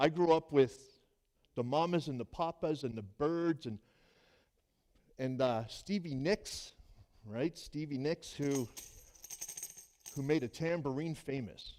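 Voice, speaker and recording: Music plays in the background as a man with a fairly high pitch speaks, leaving long, frequent pauses. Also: ordinary pitch variation, fairly slow pace. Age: 60s. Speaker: pastor. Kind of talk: sermon.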